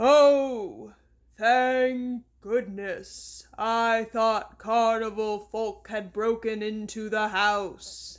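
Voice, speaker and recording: In a put-on character voice, the speaker sounds croaky and dramatic, with a fairly high pitch and a very slow pace, on a very clean recording with a silent background. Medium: read story. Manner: dramatic, boastful.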